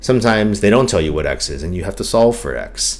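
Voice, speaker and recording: A man talks in a calm tone, with audible room echo and noticeable background noise. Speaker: math teacher. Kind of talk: tutorial.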